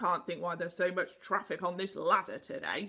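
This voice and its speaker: A put-on character voice rumbles along at a middle pitch and a fairly quick pace. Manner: grumbling.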